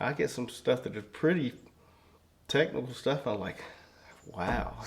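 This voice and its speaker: Speaking with a Southern Appalachian accent, a man uses vocal fry at a medium pitch and a fairly slow pace. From rural southwest Virginia. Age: 60s. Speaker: circuit court judge. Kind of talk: interview conversation. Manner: halting, many fillers.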